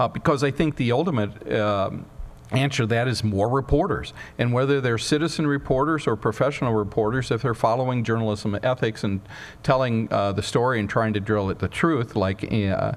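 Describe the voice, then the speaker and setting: A man with a medium-pitched, ordinary speaking voice talks at a fairly quick pace. His pitch variation is ordinary. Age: 60s. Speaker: journalist and news editor. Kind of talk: Q&A after a public talk.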